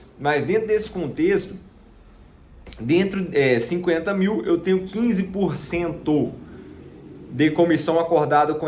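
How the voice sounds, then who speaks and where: There is audible room echo around a man's fairly high voice. He moves at a moderate pace with ordinary pitch variation. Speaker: sales closer and digital marketing youtuber. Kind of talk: casual vlog monologue. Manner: many fillers (né, tá).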